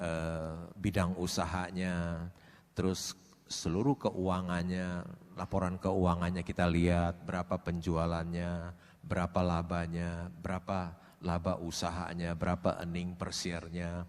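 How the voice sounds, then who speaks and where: A man's very deep, low voice, fairly slow and monotone, flat in intonation, on a very clean recording with a silent background. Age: 60s. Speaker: stock investor. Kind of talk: seminar interview.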